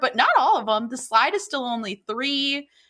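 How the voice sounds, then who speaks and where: In an American accent, a woman talks at a moderate pace in a high pitch with a bright, sharp tone. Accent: Wisconsin, comes out strongly at times. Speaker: podcast co-host. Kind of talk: casual chat. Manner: animated.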